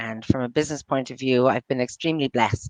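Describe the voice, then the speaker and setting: In a New York accent, a woman talks at a very fast pace, with a dry, close sound and no echo. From US, New York. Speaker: entrepreneur, bookkeeper. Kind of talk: casual interview chat. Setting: live video show. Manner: halting, many fillers and restarts.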